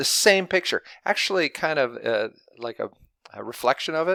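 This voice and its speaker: Speaking at a moderate pace, a man comes through in a dry, close sound with no echo on a very clean recording with a silent background. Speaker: math teacher. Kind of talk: lecture. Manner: animated.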